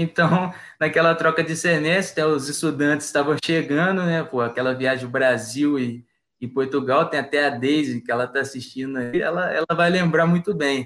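Using a plain, everyday voice, a man speaks at a fairly high pitch and a moderate pace with ordinary pitch variation. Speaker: university student. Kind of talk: casual chat, storytelling.

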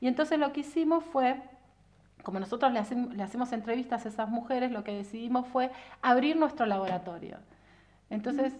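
A woman talks with a Rioplatense accent. Her pitch is high and her pace fairly quick. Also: ordinary pitch variation. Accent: Argentine Rioplatense Spanish. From Argentina, Viedma (Río Negro). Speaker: political scientist and researcher. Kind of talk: casual interview.

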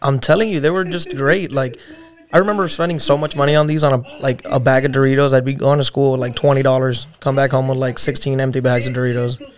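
With music in the background, a man with a fairly high pitch talks at a very fast pace and ordinary pitch variation. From Puerto Rico. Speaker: podcast guest. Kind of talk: casual chat.

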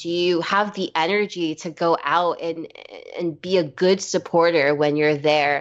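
Someone with an American accent speaks in a normal speaking voice with ordinary pitch variation. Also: woman. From New York City, Brooklyn. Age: 20s. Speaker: musician. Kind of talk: casual chat.

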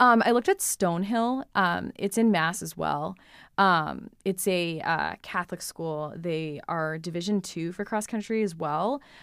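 At a fairly slow pace, a woman with a fairly low pitch speaks in an ordinary speaking voice on a very clean recording with a silent background. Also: ordinary pitch variation. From New Hampshire, US. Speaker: college runner and student. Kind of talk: casual interview.

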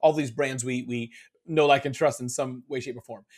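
A man speaking at a fairly quick pace. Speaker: business speaker and author. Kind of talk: podcast interview. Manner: fast talker; stumbles over words.

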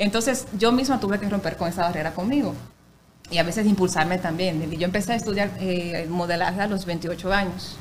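Over noticeable background noise and audible room echo, a woman at medium pitch talks at a fairly quick pace with ordinary pitch variation. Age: 30s. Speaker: radio announcer and actress. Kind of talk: casual chat.

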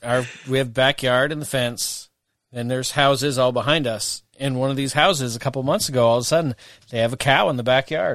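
Speaking at a fairly quick pace in a plain, everyday voice, a man keeps his medium pitch to a fairly even intonation. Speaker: podcast host. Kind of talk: casual podcast chat.

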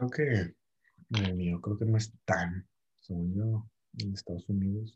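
Somewhat breathy and fairly low-pitched, a man talks at a very slow pace with long, frequent pauses, the sound dry and close with no echo. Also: ordinary pitch variation. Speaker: podcast co-host. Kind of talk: casual chat.

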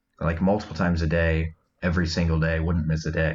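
A man with a US Midwestern accent, a very deep, low pitch, a somewhat breathy voice and a fairly quick pace. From Iowa, US Midwest. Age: 20s. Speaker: guest sharing recovery story. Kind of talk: testimony. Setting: remote call.

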